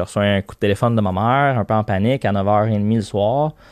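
With a Quebec accent, a man speaks at a fairly slow pace and a fairly low pitch, the sound dry and close with no echo over a quiet background. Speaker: company CEO. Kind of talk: interview. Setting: studio.

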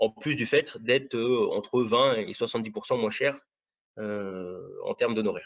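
This man has a medium-pitched voice with ordinary pitch variation and an unremarkable speaking voice. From Brittany, southern. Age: 40s. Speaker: real estate agent. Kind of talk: interview.

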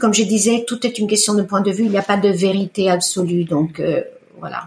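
With an Italian accent, a woman speaks at a moderate pace and medium pitch, with ordinary pitch variation. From Italy, Lake Como (Bellano). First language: Italian (speaking French). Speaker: iridologist. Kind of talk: testimony. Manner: hesitant, many fillers.

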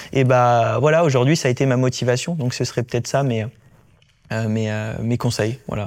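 Here is a man with a normal speaking voice at medium pitch. He keeps a moderate pace and fairly even intonation. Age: 20s. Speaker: Paralympic swimmer. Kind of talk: casual interview.

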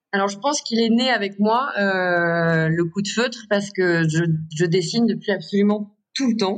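A woman talks at a moderate pace in a normal speaking voice with ordinary pitch variation. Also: medium pitch for a woman. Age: 30s. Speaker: contemporary artist. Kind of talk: interview.

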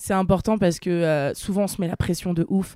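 Her fairly low voice has a dark, mellow tone, and the woman talks at a fairly quick pace. The sound is dry and close with no echo, on a very clean recording with a silent background. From France, Nantes. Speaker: plus-size model and content creator. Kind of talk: casual interview. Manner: animated.

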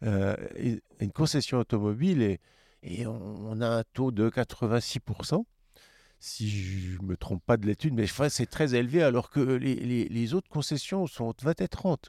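A man's dark, mellow voice at a fairly slow pace with lively intonation, in a very clean recording with a silent background and a dry, close sound with no echo. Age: 50s. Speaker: car dealership executive. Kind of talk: interview conversation.

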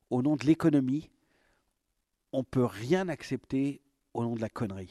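This man's voice has a dry, close sound with no echo and a dark, mellow tone. His pitch is fairly high, his intonation lively, and the background quiet. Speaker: theatre director and former actor. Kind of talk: interview.

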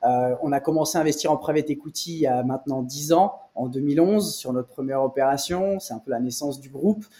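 An unremarkable speaking voice: a man at a fairly high pitch, fairly quick with hardly any pauses, ordinary pitch variation and big swings in loudness. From France, Nice. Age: 30s. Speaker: private equity investor. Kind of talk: interview. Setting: office.

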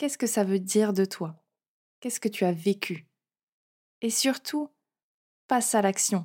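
A woman's dark, mellow voice at a fairly slow pace with ordinary pitch variation, in a very clean recording with a silent background. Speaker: confidence and self-esteem coach, podcast host. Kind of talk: solo podcast monologue, coaching advice.

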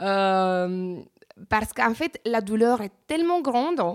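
At a very slow pace, a woman speaks with lively intonation on a very clean recording with a silent background. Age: 30s. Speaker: real estate agent sharing plastic surgery experience. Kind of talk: testimony. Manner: halting, many hesitations.

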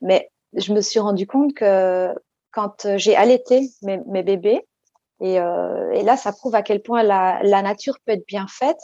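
A woman's dark, mellow voice at a medium pitch, with a dry, close sound and no echo. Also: ordinary pitch variation, fairly slow pace. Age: 40s. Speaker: psychologist. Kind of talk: interview.

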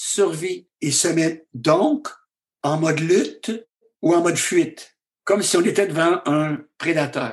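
A man talks very slowly in a high pitch. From Quebec. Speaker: physician and author. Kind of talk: interview conversation.

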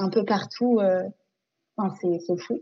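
A woman speaks here. Her intonation stays fairly even. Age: 20s.

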